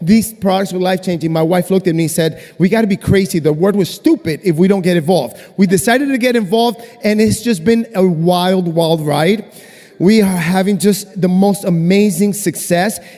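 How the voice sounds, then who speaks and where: A man speaks in a high voice with ordinary pitch variation and an animated tone. His loudness stays very even over noticeable background noise. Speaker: brand partner giving product testimony. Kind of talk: testimony on stage. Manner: fast.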